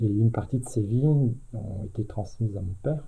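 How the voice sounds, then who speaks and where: At a moderate pace, a man speaks at medium pitch in a dark, mellow tone that is somewhat breathy. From France, Aube (Champagne). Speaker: retired teacher. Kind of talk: oral history interview. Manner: hesitant, with many fillers.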